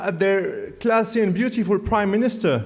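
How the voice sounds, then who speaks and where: A man with a non-native accent speaks fairly slowly in a high voice, with ordinary pitch variation. Room echo is audible. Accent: average English accent, non-native. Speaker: student debater. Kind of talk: competitive debate speech. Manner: formal, humorous oratory.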